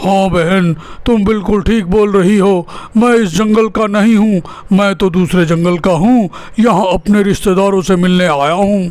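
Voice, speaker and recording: Against light background noise, a man puts on a cartoonish character voice pitched high, talking at a moderate pace. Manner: innocent, earnest.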